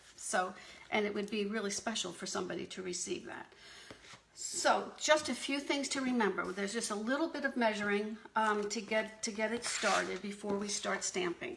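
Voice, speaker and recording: A woman's medium-pitched voice with lively intonation at a moderate pace, set against noticeable background noise. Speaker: paper craft demonstrator. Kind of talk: craft tutorial on a live video stream. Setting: live video stream. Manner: hesitant, many fillers.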